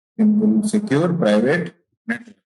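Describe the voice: Fairly slow male speech with a dark, mellow tone, big pitch swings, vocal fry and a slightly husky edge. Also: high pitch for a man.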